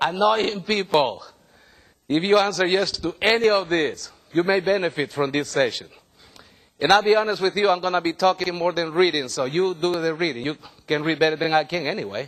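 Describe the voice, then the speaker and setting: A fairly quick pace with an animated tone. The pitch varies in an ordinary way. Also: man, high pitch for a man. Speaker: workshop trainer. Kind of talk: workshop presentation. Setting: room with live audience. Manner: animated, interactive.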